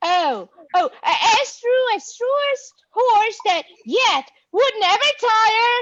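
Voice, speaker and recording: A woman puts on a squeaky character voice, pitched extremely high, with lively intonation and a very slow pace. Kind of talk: deliberately hammy amateur verse. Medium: stage play.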